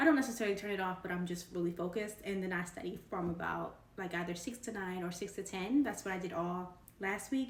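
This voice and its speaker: Amid noticeable background noise and audible room echo, a woman talks in a medium pitch with ordinary pitch variation. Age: 20s. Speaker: tech career YouTuber. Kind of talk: casual vlog. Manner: fast; animated.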